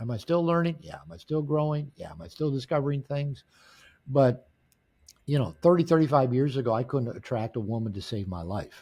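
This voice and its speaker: On a very clean recording with a silent background, a man speaks at a fairly quick pace in a medium pitch, somewhat breathy, with lively intonation. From US Pacific Northwest, Seattle area. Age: 60s. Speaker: author and men's coach. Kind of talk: interview. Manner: halting, frequent word repetitions.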